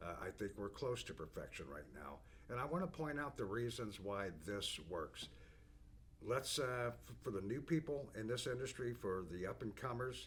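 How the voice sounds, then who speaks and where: Vocal fry runs through a man's medium-pitched voice at a moderate pace. His pitch swings very widely. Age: 60s. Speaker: business owner presenting company products. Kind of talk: product overview monologue. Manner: casual, with frequent fillers and restarts.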